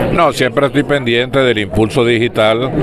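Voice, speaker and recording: A man's voice comes through with a dry sound and no echo, with noticeable background noise. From Venezuela, Barquisimeto. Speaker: veteran sports journalist and broadcaster. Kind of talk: interview answer. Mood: nostalgic, warm. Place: hall. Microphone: handheld.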